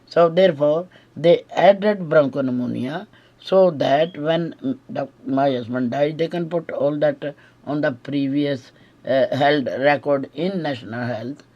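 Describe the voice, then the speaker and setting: The voice has an Indian accent and a dark, mellow tone. It moves at a fairly slow pace with ordinary pitch variation. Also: woman, very deep, low pitch for a woman. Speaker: widow making accusations. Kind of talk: recorded monologue. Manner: halting, many fillers.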